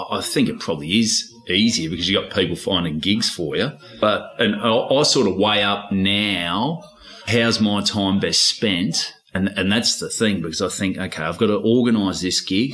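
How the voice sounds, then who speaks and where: A man speaks at a moderate pace in a fairly low voice with ordinary pitch variation over noticeable background noise. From North Queensland, Australia. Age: 30s. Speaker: stand-up comedian. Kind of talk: casual chat.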